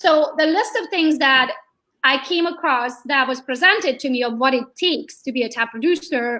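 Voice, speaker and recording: A woman's high, raised, projected voice with a bright, sharp tone, ordinary pitch variation and a Hungarian accent. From Hungary. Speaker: real estate agent. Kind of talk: interview. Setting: live video stream. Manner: animated.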